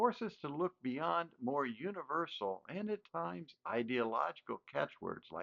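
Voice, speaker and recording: Speaking slowly with an American accent, a man at medium pitch makes very wide pitch swings. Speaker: educator. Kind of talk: lecture. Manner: formal.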